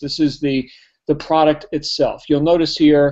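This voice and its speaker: The speaker, with a New Jersey accent, talks at a moderate pace. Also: man. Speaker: network marketing trainer. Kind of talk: product demonstration. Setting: live webinar.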